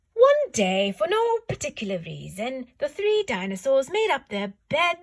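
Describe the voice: Reading aloud, plain and simple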